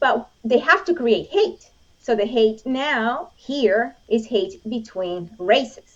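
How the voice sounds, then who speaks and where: A woman with a Spanish accent speaks at a very slow pace in a high voice, her pitch swinging very widely. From Venezuela. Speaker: Olympic shooter and gun rights advocate. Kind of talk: interview conversation.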